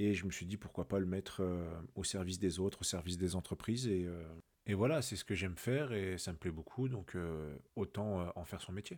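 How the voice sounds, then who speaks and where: The man's voice sits very deep and low in pitch. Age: 30s. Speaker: podcast host, digital freelancer. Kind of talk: casual monologue. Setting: solo at microphone. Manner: hesitant, many fillers.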